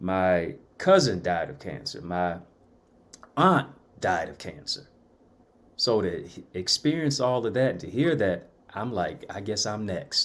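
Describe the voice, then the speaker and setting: With an American accent, a man speaks fairly slowly in a fairly low pitch, his voice showing very wide pitch swings, big swings in loudness and long, frequent pauses. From Jamaica (raised by missionary parents), Detroit. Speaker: motivational speaker, author and college professor. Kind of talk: interview, testimony. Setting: livestreamed talk show.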